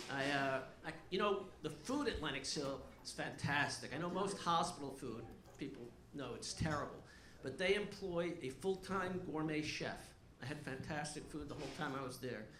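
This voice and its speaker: Noticeable background noise and audible room echo surround a man speaking at a moderate pace with a fairly high pitch and ordinary pitch variation. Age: 60s. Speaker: stand-up comedian. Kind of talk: stand-up. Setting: stage with audience.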